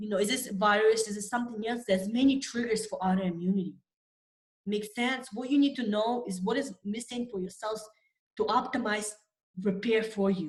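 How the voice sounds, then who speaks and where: Her voice fairly high and somewhat breathy, a woman talks at a fairly quick pace with fairly even intonation. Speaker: nutrition coach and immunology scientist. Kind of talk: webinar presentation. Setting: online webinar with screen share.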